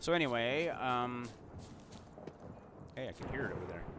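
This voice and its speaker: Over noticeable background noise and audible room echo, a man mumbles at a moderate pace in a fairly low voice with lively intonation. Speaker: gaming video creator. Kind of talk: gameplay commentary. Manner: mumbling; casual, rambling with fillers.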